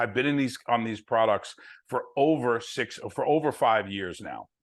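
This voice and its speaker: In a strong New Jersey accent, a man talks at a medium pitch with ordinary pitch variation over a quiet background. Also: moderate pace. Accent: New Jersey, heavy. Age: 60s. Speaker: network marketing distributor. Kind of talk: sales presentation on video call.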